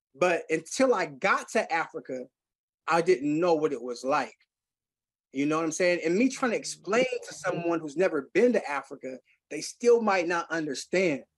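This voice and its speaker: This man has a high pitch and an American accent. His intonation is lively. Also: moderate pace. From Seattle, Central District. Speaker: recovering addict, music nonprofit director. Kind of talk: podcast interview, recovery testimony. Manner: animated.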